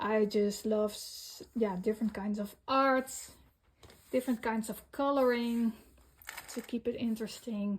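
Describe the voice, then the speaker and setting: The speech moves at a very slow pace with fairly even intonation. The recording is very clean, with a silent background. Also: woman. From Netherlands. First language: Dutch. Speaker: coloring hobby vlogger. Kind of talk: casual show-and-tell vlog. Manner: halting, many fillers.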